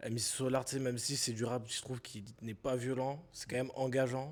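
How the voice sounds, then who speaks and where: An ordinary speaking voice at a fairly quick pace. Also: man. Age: 20s. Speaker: podcast host. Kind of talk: interview conversation.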